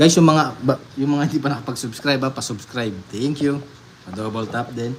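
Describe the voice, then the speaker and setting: With noticeable background noise around him, a man speaks fairly quickly at a medium pitch, his pitch varying in an ordinary way. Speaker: livestreamer playing card games. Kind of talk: live stream chat. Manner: trembling.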